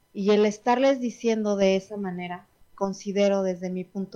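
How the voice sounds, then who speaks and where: At a fairly slow pace, the woman uses fairly even intonation at a medium pitch with a dark, mellow tone. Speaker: radio show host, wellness talk. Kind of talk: casual chat. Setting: radio studio, also streamed on Instagram.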